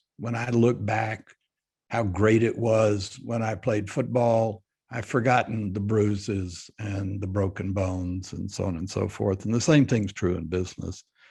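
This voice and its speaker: A man speaks at a fairly slow pace with a fairly low pitch, a dark, mellow tone, a somewhat breathy quality and fairly even intonation over a quiet background. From Texas, Fort Worth. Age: 80s+. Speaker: business leader. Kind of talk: panel interview. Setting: video call.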